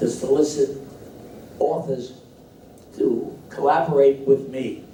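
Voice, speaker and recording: With noticeable background noise and audible room echo, a man speaks fairly slowly at a fairly high pitch. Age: 90s. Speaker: book editor and author. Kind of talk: speech at book launch. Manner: halting.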